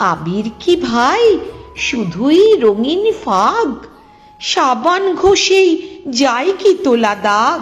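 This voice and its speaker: A woman speaks with very wide pitch swings. Music plays in the background. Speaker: poetry reciter. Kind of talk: poetry reading.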